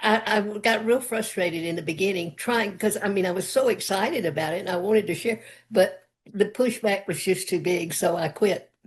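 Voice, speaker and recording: Speech comes at a fairly quick pace with ordinary pitch variation. The voice is somewhat breathy. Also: woman, medium pitch for a woman. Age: 80s+. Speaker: interview guest. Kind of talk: interview chat.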